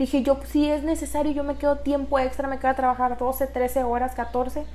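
The delivery is monotone and flat, with noticeable background noise behind it. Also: woman. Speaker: business engineer and entrepreneur. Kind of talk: interview.

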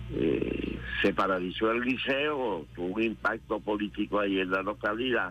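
A man talks at a fairly low pitch with very wide pitch swings. His pace is fairly slow. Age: 80s+. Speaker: politician and former guerrilla commander. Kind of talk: radio interview. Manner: halting.

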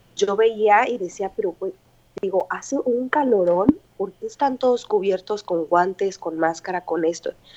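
A woman with a Mexican accent at a fairly slow pace and a medium pitch. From Mexico, Morelia, Michoacán. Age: 20s. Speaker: English teacher living abroad. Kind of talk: interview, casual chat.

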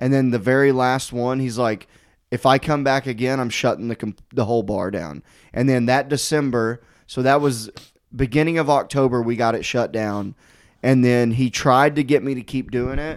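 A man speaks in a normal speaking voice at a medium pitch and a moderate pace. His intonation stays fairly even. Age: 30s. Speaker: stand-up comedian. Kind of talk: casual chat.

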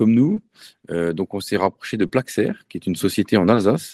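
Dark and mellow in tone, a man speaks at a moderate pace and fairly low pitch with ordinary pitch variation. The sound is dry and close, with no echo. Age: 40s. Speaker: entrepreneur. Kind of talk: interview. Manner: halting.

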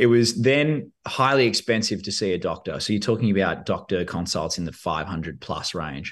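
With a normal speaking voice, a man of fairly low pitch speaks at a moderate pace with lively intonation and hardly any pauses against a quiet background. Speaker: podcast host and company managing director. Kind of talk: casual interview chat. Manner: joking.

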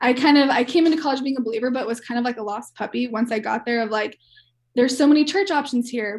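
Talking at a very fast pace, a woman with an American accent uses a high pitch with ordinary variation. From Kansas City, US Midwest. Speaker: campus ministry worker. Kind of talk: casual chat.

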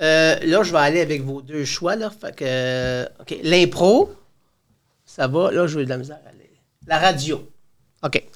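Long pauses come often in this very slow speech, and the pitch varies in an ordinary way. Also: man, fairly high pitch for a man. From Quebec. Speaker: high school teacher. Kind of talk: casual interview. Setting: studio. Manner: talkative.

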